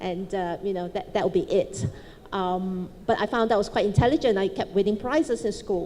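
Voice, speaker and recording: A woman speaks at a medium pitch and a moderate pace, her tone dark and mellow. Her pitch varies in an ordinary way. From Malaysia, Chinese family. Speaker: businesswoman, panelist. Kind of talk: panel talk, personal story. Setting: stage with audience.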